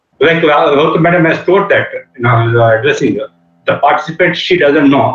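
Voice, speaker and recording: A man with a Telugu accent, fairly high pitch and a very fast pace. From India, Andhra Pradesh. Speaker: engineering professor. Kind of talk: lecture. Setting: video call. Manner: halting, many fillers. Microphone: network connectivity problem.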